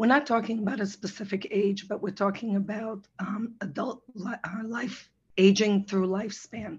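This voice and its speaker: Somewhat breathy, a woman speaks at a medium pitch and a moderate pace, with fairly even intonation and hardly any pauses. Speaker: physician assistant, nutrition presenter. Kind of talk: webinar presentation.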